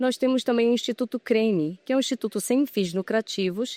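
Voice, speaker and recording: In a Pará accent, a woman speaks at a moderate pace and fairly high pitch with ordinary pitch variation, in a dry, close sound with no echo and a very clean recording with a silent background. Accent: Pará (northern Brazilian) accent, noticeable. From Brazil, Belém do Pará. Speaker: furniture company business manager. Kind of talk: interview. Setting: trade fair.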